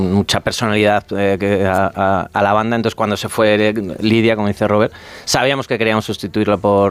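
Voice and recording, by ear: A man talks at a fairly quick pace in a fairly low voice.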